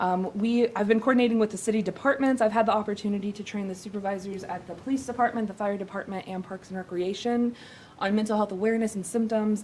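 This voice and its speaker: Rattling along at a very fast pace, a woman with a fairly high voice keeps her intonation fairly even over noticeable background noise. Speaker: city mental health program coordinator. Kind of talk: presentation at a council meeting.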